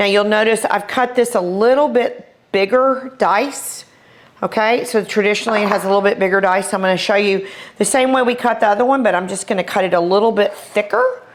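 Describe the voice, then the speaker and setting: Over noticeable background noise, a woman with an American accent talks fairly quickly at a medium pitch, keeping her loudness very even. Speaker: chef. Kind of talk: cooking tutorial. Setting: kitchen. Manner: animated.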